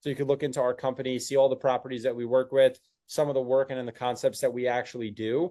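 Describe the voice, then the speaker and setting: A man with a New Jersey accent speaks at a very fast pace in a monotone, flat intonation, his medium-pitched voice dark and mellow against a quiet background. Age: 20s. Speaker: agency owner. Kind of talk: sales call.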